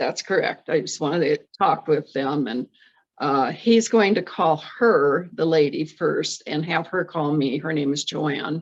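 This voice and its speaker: Speaking at a fairly slow pace, a woman uses a very deep, low pitch with ordinary pitch variation. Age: 80s+. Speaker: retired churchgoer exploring a ministry. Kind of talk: casual interview. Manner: halting.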